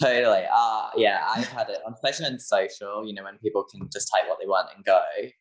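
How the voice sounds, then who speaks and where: Speaking at a very fast pace, a man's voice makes big swings in loudness. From UK. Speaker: small business owner. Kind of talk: casual chat.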